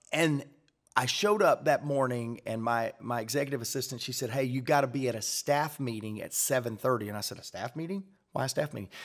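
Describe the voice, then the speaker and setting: Speaking at a fairly quick pace with ordinary pitch variation, a man is heard against a quiet background. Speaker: leadership podcast host. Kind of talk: casual chat. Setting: studio. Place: studio. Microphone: studio mic.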